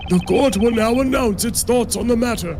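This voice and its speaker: A man's put-on character voice at an extremely high pitch and moderate pace over loud music in the background. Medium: game stream. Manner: formal, stately.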